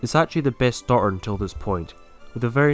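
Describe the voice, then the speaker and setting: Lively intonation comes through over music in the background. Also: man. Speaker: gaming video creator. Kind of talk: game commentary narration.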